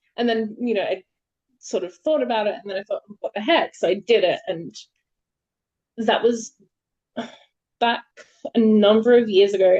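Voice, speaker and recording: A woman with an Australian accent, in a dry, close sound with no echo. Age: 30s. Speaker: poet. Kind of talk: interview. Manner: hesitant, many fillers.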